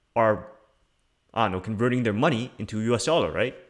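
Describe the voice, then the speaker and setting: A man's medium-pitched voice comes through on a very clean recording against a silent background. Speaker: crypto YouTuber. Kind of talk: livestream commentary. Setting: live stream with screen share. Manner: casual, hesitant with fillers.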